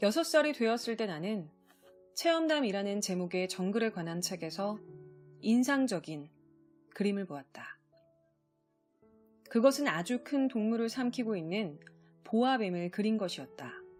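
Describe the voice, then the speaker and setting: Over music in the background, a calm, soothing tone moves fairly slowly through very wide pitch swings and long, frequent pauses. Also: woman, fairly high pitch for a woman. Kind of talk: audiobook reading.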